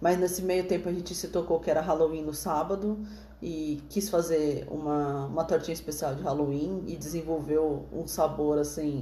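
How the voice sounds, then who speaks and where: Fairly even intonation amid audible room echo and noticeable background noise. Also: woman, very deep, low pitch for a woman, moderate pace. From Praia Grande, São Paulo coast, Brazil. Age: 30s. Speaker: podcast host, small business owner. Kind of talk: casual chat.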